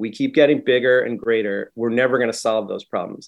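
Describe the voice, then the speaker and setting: At a fairly quick pace comes an ordinary speaking voice. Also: man. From New England, Concord, Massachusetts. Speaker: English professor and author. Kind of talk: radio interview.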